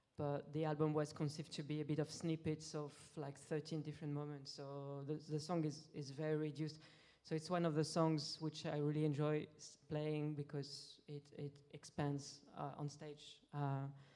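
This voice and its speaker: In a French accent, a woman speaks at a moderate pace in a very deep, dark, mellow voice with monotone, flat intonation. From France. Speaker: musician. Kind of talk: interview Q&A. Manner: halting.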